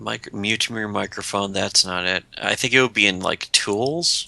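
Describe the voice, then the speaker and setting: Here is a man with a plain, everyday voice at a fairly low pitch. He talks at a fairly slow pace with ordinary pitch variation. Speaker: livestream co-host. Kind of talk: casual chat.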